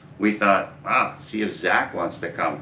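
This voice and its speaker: A man's voice amid audible room echo and noticeable background noise. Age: 50s. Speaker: motorcycle traveller. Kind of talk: casual chat.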